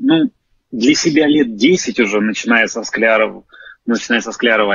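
Dry with no echo, a man's voice moves at a moderate pace with ordinary pitch variation. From Moscow, Russia; Russia. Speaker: alternative history enthusiast; guest. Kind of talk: self-introduction on group stream. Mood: friendly, grateful. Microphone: phone near.

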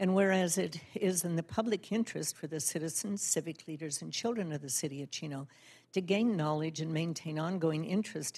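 At a moderate pace, a woman talks in a plain, everyday voice, fairly low in pitch with ordinary pitch variation. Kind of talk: formal proclamation reading. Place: hall.

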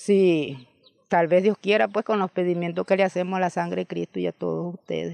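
A woman with a fairly low pitch speaks at a moderate pace in a dark, mellow tone with fairly even intonation, recorded dry with no echo against a quiet background. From Nicaragua. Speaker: farmer and landowner. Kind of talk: interview testimony. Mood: sorrowful, reflective. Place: home room. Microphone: handheld.

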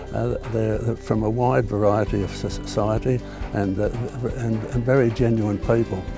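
A man speaks at a fairly slow pace with a fairly low pitch and fairly even intonation. The sound is dry with no echo, and clear music plays in the background. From Sydney, Australia. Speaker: war veteran; environmental protester. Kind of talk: interview answer. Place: open country. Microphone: lapel.

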